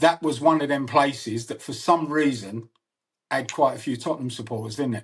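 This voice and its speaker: A man's fairly high, somewhat breathy voice at a fairly quick pace, with ordinary pitch variation, big swings in loudness and a quiet background. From north London, Archway. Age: 60s. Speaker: podcast host. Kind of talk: casual interview chat.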